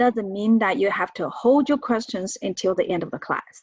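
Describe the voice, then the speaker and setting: A woman with a Chinese accent, fairly high pitch and lively intonation. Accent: Mandarin Chinese accent in English. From China. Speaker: professor. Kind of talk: lecture. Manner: halting, with many fillers.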